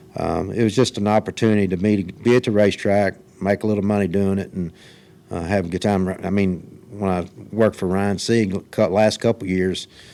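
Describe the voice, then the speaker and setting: At a fairly quick pace, a man talks in a dark, mellow tone with a fairly low pitch and fairly even intonation. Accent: Kentucky. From Kentucky. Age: 60s. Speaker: retired race car driver. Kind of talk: interview. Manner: halting.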